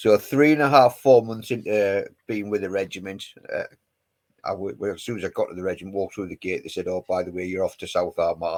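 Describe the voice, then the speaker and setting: This speaker moves at a fairly quick pace with a Geordie accent. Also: man. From northern England, Newcastle (West End). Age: 50s. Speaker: army veteran. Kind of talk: casual chat.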